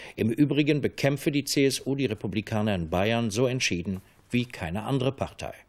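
Over a quiet background, a man speaks at a fairly quick pace with ordinary pitch variation. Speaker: television news anchor. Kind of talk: television news reading. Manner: formal, measured. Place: studio.

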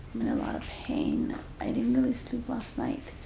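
A woman at a moderate pace, with light background noise and audible room echo. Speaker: vlogger. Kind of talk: casual vlog chat. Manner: weary, pained, low-energy voice. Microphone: phone near.

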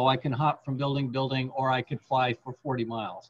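This somewhat breathy man has an American accent and keeps a moderate pace. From San Jose, California; California. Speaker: museum talk host. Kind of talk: casual chat; interview question. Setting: video call. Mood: friendly, relaxed. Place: home room. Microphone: video call.

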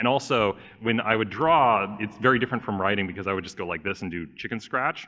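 A man with an American accent at a very fast pace. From Southern California. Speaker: YouTube animator and game master. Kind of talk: convention panel talk. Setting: stage with audience.

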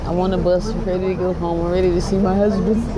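Over loud background noise, a woman speaks at a fairly quick pace in a dry sound with no echo. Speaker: travel vlogger. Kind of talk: casual vlog chat. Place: bus. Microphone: phone near.

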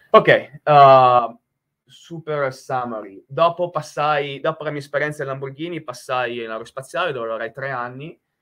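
Against a quiet background, a man talks at a fairly high pitch and a moderate pace. His pitch varies in an ordinary way, and his loudness swings widely. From Italy. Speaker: nuclear engineer and professor. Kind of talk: technical presentation. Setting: video call. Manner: halting, many filler sounds and repetitions. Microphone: headset.

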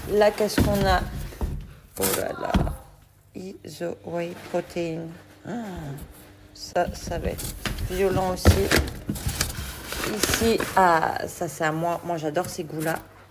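Loud noise fills the background. The speech is very slow, broken by long, frequent pauses. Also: woman. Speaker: family vlogger. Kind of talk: casual vlog chat. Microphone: phone near.

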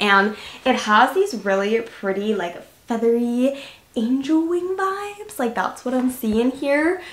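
Audible room echo surrounds a woman speaking at a high pitch and very slow pace. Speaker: lifestyle vlogger. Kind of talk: casual haul review chat. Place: home room.

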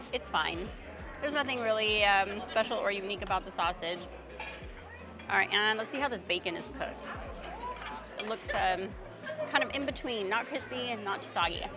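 Clear music plays behind a woman speaking at a fairly quick pace. The sound is dry with no echo, and her pitch variation is ordinary. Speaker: food vlogger. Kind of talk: casual food review chat. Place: hall. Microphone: lapel.

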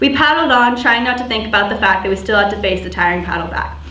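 A woman's voice with ordinary pitch variation, audible room echo and light background noise. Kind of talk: prepared speech, personal story. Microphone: podium.

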